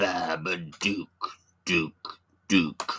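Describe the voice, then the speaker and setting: A man speaks in a put-on character voice. His pitch is very deep and low. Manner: creepy, eerie.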